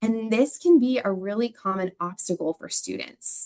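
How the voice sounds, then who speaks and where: Moderate in pace and lively in intonation, a plain, everyday voice from a woman, pitched fairly high. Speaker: reading education presenter. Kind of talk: webinar lecture.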